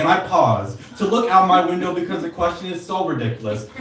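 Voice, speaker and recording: Amid noticeable background noise and audible room echo, a man with a high pitch speaks with lively intonation. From San Diego, California. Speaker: poet. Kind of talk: poetry reading. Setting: stage with audience.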